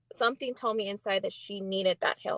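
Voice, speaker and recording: In a Spanish accent, the voice keeps a fairly even intonation on a very clean recording with a silent background and dry, close sound with no echo. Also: woman. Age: 30s. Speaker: guest. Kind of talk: casual chat. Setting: livestream. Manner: halting.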